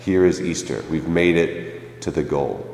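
Noticeable background noise and audible room echo around a man speaking. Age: 20s. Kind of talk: sermon.

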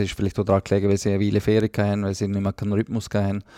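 Recorded with a dry, close sound with no echo, a man speaks at a fairly low pitch in a very clean recording with a silent background. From Liechtenstein. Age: 40s. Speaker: football coach. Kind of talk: casual interview.

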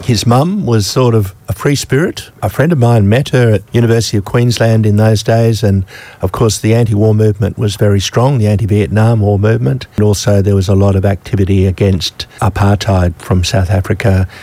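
With an Australian accent, a man talks at a fairly quick pace with hardly any pauses, his fairly low pitch varying in an ordinary way, his tone dark and mellow, and his loudness very even. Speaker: community radio presenter. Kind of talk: casual chat. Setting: studio.

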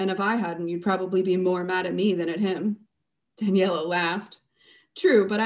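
The intonation stays fairly even as a natural voice reads aloud, with only quiet behind it.

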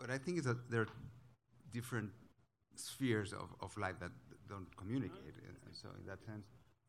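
Speaking at a moderate pace with a Spanish accent, the voice is somewhat breathy, with lively intonation and long, frequent pauses. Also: man, fairly low pitch for a man. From Guatemala. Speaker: novelist. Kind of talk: panel discussion. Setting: stage with audience.

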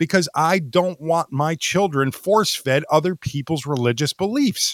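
An unremarkable speaking voice from a man, fairly high in pitch, with lively intonation, a moderate pace and a dry, close sound with no echo. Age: 40s. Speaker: podcast co-host. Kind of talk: casual chat. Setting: online voice chat.

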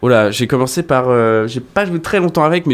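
A man has an unremarkable speaking voice at a medium pitch. He talks at a fairly quick pace with lively intonation. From France, La Rochelle. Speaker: rock guitarist. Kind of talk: casual interview chat. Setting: studio.

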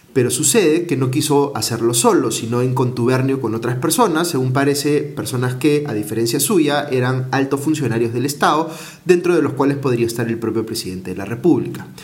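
Amid noticeable background noise and audible room echo, a man talks at a fairly quick pace with hardly any pauses. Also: medium pitch for a man, ordinary pitch variation. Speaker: news commentator. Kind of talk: news commentary monologue.

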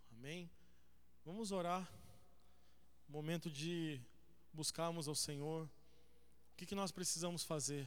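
Speaking at a fairly high pitch, a man moves at a fairly slow pace. His pitch varies in an ordinary way, and he pauses long and often. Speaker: pastor. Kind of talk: sermon, then a prayer led before the congregation. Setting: church with a congregation. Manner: fervent, earnest, pleading prayer with repeated invocations of God; conversational, interactive, addresses the congregation directly.

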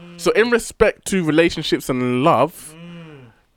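A man with a British accent and a high pitch is heard in a dry, close sound with no echo. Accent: British urban. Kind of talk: casual chat.

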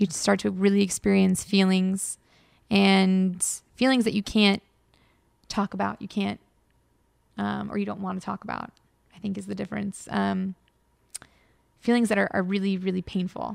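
On a very clean recording with a silent background, a woman with an American accent speaks with long, frequent pauses. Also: moderate pace. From Los Angeles, US. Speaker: YouTuber, former games journalist. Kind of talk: casual interview chat.

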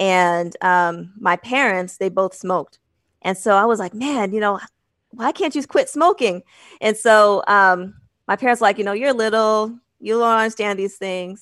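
A woman with an American accent speaks at a moderate pace, her pitch medium and its variation ordinary. It is an ordinary speaking voice against a quiet background. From US Northeast, Boston and Manchester, New Hampshire. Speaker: nurse practitioner or clinician. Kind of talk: casual interview.

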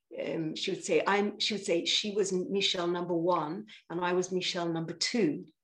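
A woman's fairly low voice at a moderate pace. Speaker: sound therapist and singer-songwriter. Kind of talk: casual interview. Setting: video call. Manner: animated.

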